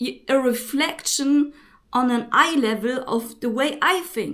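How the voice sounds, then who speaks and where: The voice is raised and projected, with a bright, sharp tone. It has a non-native accent and a fairly slow pace. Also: woman. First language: not English. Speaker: spiritual vlogger. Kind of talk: spiritual monologue to camera. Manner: halting.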